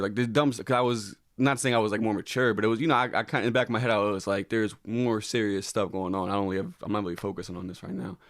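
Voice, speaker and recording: A man speaks at a very fast pace in a fairly low voice. The recording is very clean, with a silent background. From Connecticut, US. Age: 20s. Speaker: comedian. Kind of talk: podcast interview about personal grief. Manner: halting, many repeated words and fillers.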